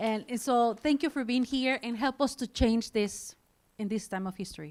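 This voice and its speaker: A woman with a Spanish accent speaks at a moderate pace and fairly high pitch, with ordinary pitch variation. The recording is very clean, with a silent background. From Mexico. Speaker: nonprofit leader. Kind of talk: speech to audience.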